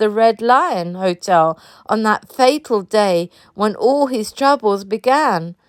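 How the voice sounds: Intonation here is lively. It belongs to a natural reading voice.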